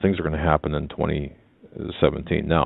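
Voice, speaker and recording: A very deep, low-pitched male voice with ordinary pitch variation. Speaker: radio host. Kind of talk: talk radio discussion. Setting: studio. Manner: halting, stammering.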